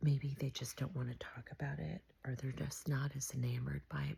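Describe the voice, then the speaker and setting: Speaking at a moderate pace, a woman with a very deep, low voice and vocal fry shows ordinary pitch variation. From beach town. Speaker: vlogger. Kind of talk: casual monologue. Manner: soft-spoken; halting.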